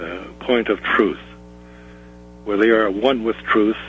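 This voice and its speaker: The delivery is very slow, with ordinary pitch variation. Noticeable background noise sits under the voice. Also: man. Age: 70s. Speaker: caller, former police officer. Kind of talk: call-in commentary. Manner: halting, many hesitations.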